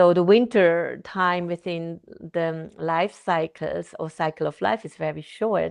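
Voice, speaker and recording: The speaker's pitch varies in an ordinary way, with a quiet background behind. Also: woman. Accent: non-native. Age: 50s. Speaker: therapist and author. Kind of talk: interview conversation. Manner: halting, self-correcting.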